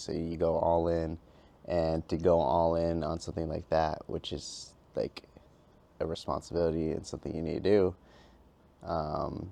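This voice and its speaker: Very deep and low in pitch, a man's voice carries a dark, mellow tone. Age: 20s. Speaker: YouTuber. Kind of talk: casual vlog chat. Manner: stuttering, halting.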